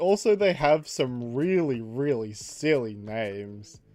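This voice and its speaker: The tone is animated. Music plays in the background. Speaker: streamer drawing fan creatures. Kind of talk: casual livestream chat while drawing.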